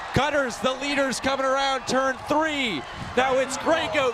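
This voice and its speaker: In a raised, projected voice of extremely high pitch, a man speaks fairly slowly with monotone, flat intonation over noticeable background noise. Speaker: sports play-by-play announcer. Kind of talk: soccer and bike race commentary.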